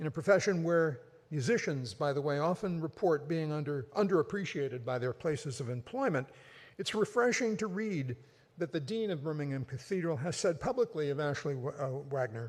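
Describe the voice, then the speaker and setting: Somewhat breathy and fairly quick, the voice moves with lively intonation over a very clean recording with a silent background. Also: man, fairly high pitch for a man. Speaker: competition emcee. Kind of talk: event announcements. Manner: fast.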